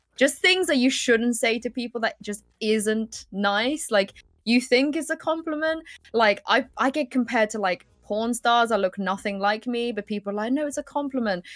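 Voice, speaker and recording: A woman with a British accent speaks at a fairly high pitch with ordinary pitch variation, her voice dry and close with no echo on a very clean recording over a silent background. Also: moderate pace. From England. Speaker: esports broadcaster and host. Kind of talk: casual chat.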